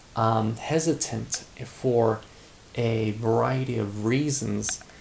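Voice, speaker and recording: Noticeable background noise runs under this recording. A man with a medium pitch speaks very slowly, his intonation fairly even. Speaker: teacher making practice vlogs. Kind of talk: casual vlog monologue. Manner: hesitant, many fillers and repeats.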